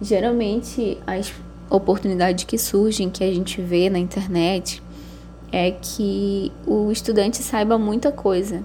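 A woman talks fairly slowly while noticeable background noise carries on. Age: 20s. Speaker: architect. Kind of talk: interview. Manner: hesitant, many fillers.

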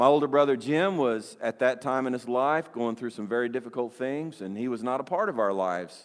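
A man with a normal speaking voice, medium pitch, ordinary pitch variation, a fairly quick pace and hardly any pauses. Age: 60s. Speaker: pastor. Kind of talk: sermon. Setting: church.

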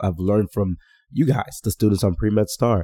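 A man's fairly low, dark, mellow, somewhat breathy voice in a dry, close sound with no echo. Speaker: physician and podcast host. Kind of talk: solo mentoring podcast monologue. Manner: animated.

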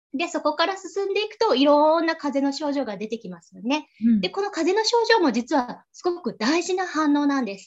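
A woman at a high pitch and fairly quick pace, with very wide pitch swings and big swings in loudness. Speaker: dietitian. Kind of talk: lecture. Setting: video call.

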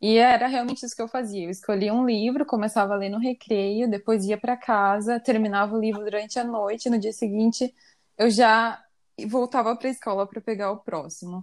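Fairly high-pitched, a woman talks at a fairly quick pace with fairly even intonation in a plain, everyday voice. The recording is very clean, with a silent background. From Brazil, Curitiba. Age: 20s. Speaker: podcast co-host. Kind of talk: casual chat.

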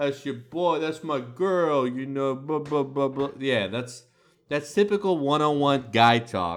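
In an American accent, a man with a plain, everyday voice speaks at a fairly slow pace, his fairly high pitch showing ordinary variation. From United States. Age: 30s. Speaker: podcast host. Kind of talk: casual chat.

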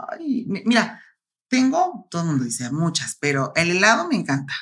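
Her voice sits fairly low for a woman, yet it swings very widely in pitch as she talks at a moderate pace. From Mexico, La Laguna region. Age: 30s. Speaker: bodybuilder. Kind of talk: interview.

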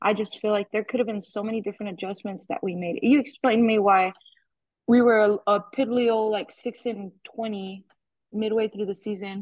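A woman with an American accent speaks at a moderate pace in a fairly high, somewhat breathy voice with fairly even intonation. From Arizona (Yuma). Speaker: softball coach. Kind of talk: interview. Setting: phone call.

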